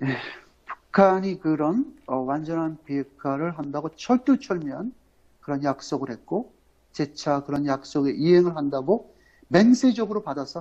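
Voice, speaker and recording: A man speaks with a fairly high pitch, lively intonation and a dark, mellow tone. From Korea, Incheon. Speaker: political commentator. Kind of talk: live-stream political commentary. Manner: halting, many fillers.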